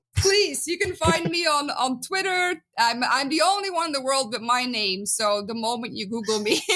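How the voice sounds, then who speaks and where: Raising and projecting her high voice, a woman with a Flemish accent swings her pitch very widely at a moderate pace, with hardly any pauses. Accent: Dutch (Flemish). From Belgium. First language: Dutch. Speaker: biblical archaeologist. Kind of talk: podcast interview. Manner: many filler words (um, uh).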